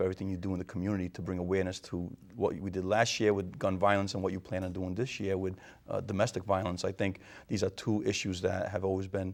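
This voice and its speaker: A man with a Rhode Island accent talks very fast in a fairly low, monotone, flat voice. The recording is very clean, with a silent background. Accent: New England (Rhode Island). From Rhode Island, Portuguese immigrant family. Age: 50s. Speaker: mayor, retired police captain. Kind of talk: interview.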